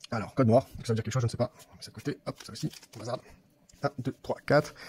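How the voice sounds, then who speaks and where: The sound is dry and close with no echo, and the voice is somewhat breathy. Delivery is very fast with fairly even intonation. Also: man, medium pitch for a man. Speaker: YouTuber opening card packs. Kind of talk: casual unboxing video. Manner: halting, repeats words.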